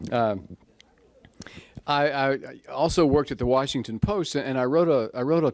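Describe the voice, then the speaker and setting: A man speaks at a medium pitch with ordinary pitch variation and a Texan accent. The recording is very clean, with a silent background. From Texas, Waco. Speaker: author and newspaper columnist. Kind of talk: author talk. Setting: library talk with audience. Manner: halting, with many repeats.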